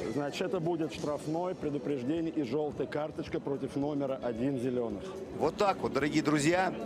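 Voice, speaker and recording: The speaker has an animated tone with ordinary pitch variation. Noticeable background noise can be heard. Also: man, fairly high pitch for a man. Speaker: rugby commentator. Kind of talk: live sports commentary on a rugby match, with highlights voiceover. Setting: stadium broadcast in Monino. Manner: animated, rapid-fire play-by-play, rising excitement on tries; rapid, clipped name-and-action calls, with asides explaining the play.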